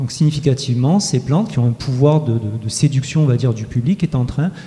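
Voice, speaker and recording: Speaking at a fairly quick pace, a man keeps a medium pitch with ordinary pitch variation. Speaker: researcher presenting survey results. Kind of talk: conference presentation. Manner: fast; hesitant with frequent filler euh.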